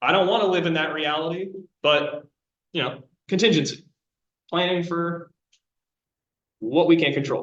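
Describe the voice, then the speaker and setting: Pausing long and often, a man speaks with a high pitch. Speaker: college instructor. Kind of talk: lecture. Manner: fast; casual.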